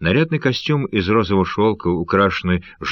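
Here is an unforced reading voice. The intonation is lively.

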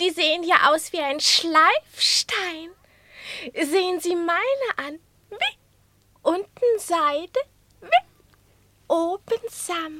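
Doing a put-on character voice, a woman uses an extremely high pitch and a bright, sharp tone, speaking at a very slow pace with ordinary pitch variation.

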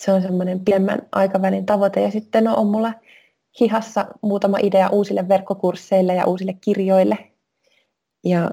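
Somewhat breathy speech at a moderate pace in a dark, mellow tone. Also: woman. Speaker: personal trainer and wellness coach. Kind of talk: interview.

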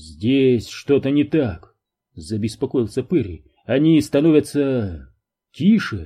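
Against quiet surroundings, the text is read aloud plainly.

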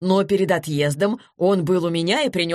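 Someone reads aloud plainly.

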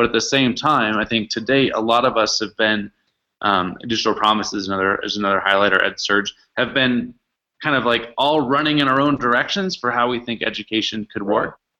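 With an American accent, a man talks in a plain, everyday voice at a medium pitch and a fairly quick pace, with ordinary pitch variation and a quiet background. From US Pacific Northwest, Seattle. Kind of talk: podcast interview.

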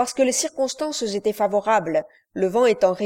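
Plain reading aloud with lively intonation. The background is quiet.

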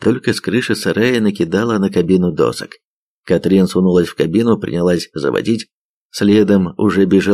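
The background stays quiet. A natural reading voice carries the clip.

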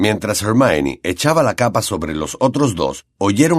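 The speaker offers plain reading aloud. The background is quiet.

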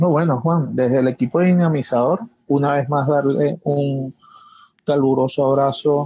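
This man has a medium pitch and an unremarkable speaking voice. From Caracas, Venezuela. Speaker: university professor and systems engineer. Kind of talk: live online panel discussion.

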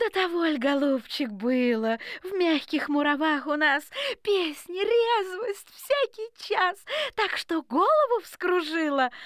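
In a put-on character voice, a woman speaks slowly at an extremely high pitch with lively intonation and a fairly bright tone.

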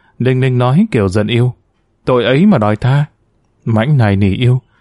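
This unforced reading voice has ordinary pitch variation over a quiet background.

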